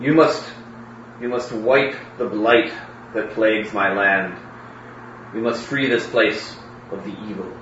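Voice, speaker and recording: Putting on a booming character voice at a medium pitch, a man talks at a fairly slow pace with long, frequent pauses, slight echo and clear background noise. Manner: solemn, commanding.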